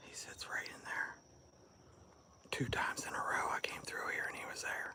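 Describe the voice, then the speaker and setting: A man whispering at a fairly slow pace. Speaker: livestreamer on a nature walk. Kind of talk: casual live stream chat. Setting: outdoors in the woods. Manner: hushed, quiet.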